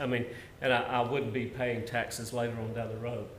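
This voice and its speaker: Audible room echo surrounds a man speaking in a medium pitch with a Southern US accent. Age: 60s. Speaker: minister and retirement benefits presenter. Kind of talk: presentation to church workers. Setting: live-streamed meeting.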